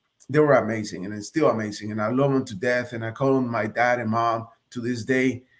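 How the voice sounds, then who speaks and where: With a Spanish accent, a man speaks at a fairly quick pace and medium pitch with ordinary pitch variation. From Nicaragua, then Hialeah, Florida from 1987. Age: 40s. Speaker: Marine Corps officer. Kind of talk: interview testimony.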